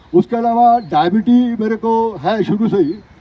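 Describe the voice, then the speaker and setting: A man speaks over noticeable background noise. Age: 70s. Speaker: retired exercise class participant. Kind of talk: testimony. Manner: halting with fillers.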